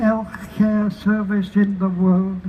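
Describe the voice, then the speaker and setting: There is noticeable background noise behind a man speaking in a high pitch. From Barnsley, Yorkshire, England. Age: 80s+. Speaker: activist. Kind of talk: protest rally speech.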